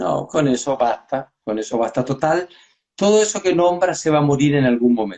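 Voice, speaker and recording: A man speaks in a Chilean accent at a moderate pace. His pitch is fairly high and his intonation lively. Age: 60s. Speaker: pediatrician. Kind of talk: casual chat.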